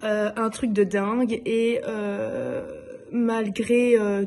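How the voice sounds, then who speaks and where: A woman's somewhat breathy, fairly high voice with a dark, mellow tone and monotone, flat intonation. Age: 20s. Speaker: nurse and belly dance student. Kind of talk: testimony. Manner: hesitant, many filler sounds.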